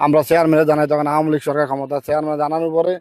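A man speaks at a fairly high pitch. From Bangladesh, Cumilla. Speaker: local villager, returned migrant worker. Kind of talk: on-the-spot interview. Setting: outdoors at a protest.

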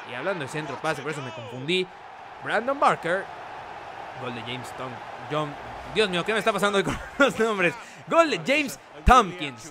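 A man with a high voice for a man sounds enthusiastic and animated, his pitch swinging very widely. He leaves long, frequent pauses, and there is noticeable background noise. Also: big swings in loudness. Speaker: gaming YouTuber. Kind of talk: live sports commentary over video game footage. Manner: excitable, animated play-by-play with exclamations; fast, enthusiastic, pointing out players and plays.

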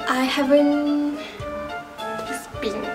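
A woman's speech is accompanied by clear music in the background. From Malaysia. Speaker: fashion youtuber. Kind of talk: casual talk to camera. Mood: cheerful, a little unsure. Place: home room. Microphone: phone near.

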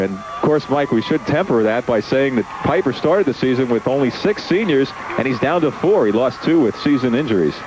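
The speech moves at a fairly quick pace. Noticeable background noise can be heard behind it. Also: man. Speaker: play-by-play sports announcer. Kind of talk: live football commentary, play-by-play. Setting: broadcast booth at a football game.

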